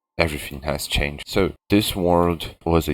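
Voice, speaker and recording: This man has a non-native accent. He talks at a moderate pace. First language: not English. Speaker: gaming video creator. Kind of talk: gameplay tour narration.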